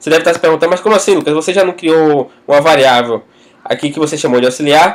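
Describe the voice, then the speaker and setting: With ordinary pitch variation, this man's voice sits fairly high for a man. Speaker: programming tutor. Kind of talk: tutorial. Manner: fast.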